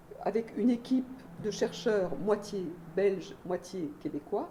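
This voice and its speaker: A woman's dark, mellow voice at a medium pitch. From Belgium. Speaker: sociologist, university researcher. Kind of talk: lecture. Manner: many hesitations (euh).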